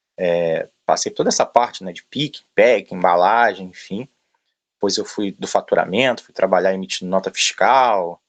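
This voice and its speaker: A man speaks with a strong Rio de Janeiro accent at a moderate pace. His loudness swings widely, and the sound is dry and close with no echo. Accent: strong carioca. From Brazil, Rio de Janeiro. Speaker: logistics manager. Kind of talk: interview talk. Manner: filler-heavy, hesitant.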